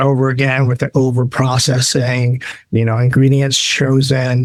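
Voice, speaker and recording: A man speaks at a medium pitch and a moderate pace in a plain, everyday voice. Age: 60s. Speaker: pet food sales executive. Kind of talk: podcast interview.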